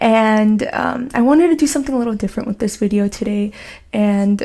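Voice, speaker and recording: A woman's fairly high, somewhat breathy voice in a dark, mellow tone, with an American accent and ordinary pitch variation. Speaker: scholarship advice YouTuber, student. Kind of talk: tutorial. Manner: soft-spoken; casual, filler-heavy.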